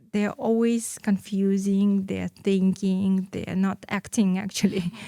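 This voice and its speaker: A woman speaks in a Russian accent at a very slow pace, her intonation monotone and flat. Her pitch is medium, and her tone is dark and mellow. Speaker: entrepreneur. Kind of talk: interview. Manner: halting.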